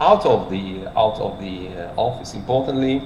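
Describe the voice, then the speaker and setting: With a Polish accent, a man of medium pitch speaks amid noticeable background noise and audible room echo. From Poland. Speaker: cardiologist, medical lecturer. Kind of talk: lecture. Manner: halting, many fillers.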